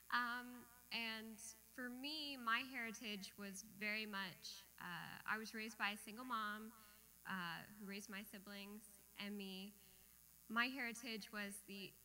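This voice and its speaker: With a Midwestern accent, a woman speaks at a fairly high pitch and a fairly slow pace, her tone bright and sharp and her intonation fairly even. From Michigan, US Midwest. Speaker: amateur storyteller. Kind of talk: personal storytelling. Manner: casual, many fillers.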